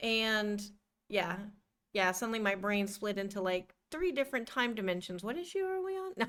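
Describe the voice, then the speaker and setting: In a very clean recording with a silent background, a woman with a slight Midwestern accent speaks at a fairly high pitch and a moderate pace, with ordinary pitch variation. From US Midwest. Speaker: podcast co-host. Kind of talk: casual chat.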